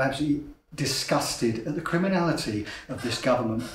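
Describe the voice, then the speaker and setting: Talking at a very fast pace, a man uses a fairly high pitch with ordinary pitch variation. Noticeable background noise and audible room echo fill the recording. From south-east England, Kent. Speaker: climate activist. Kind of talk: interview testimony.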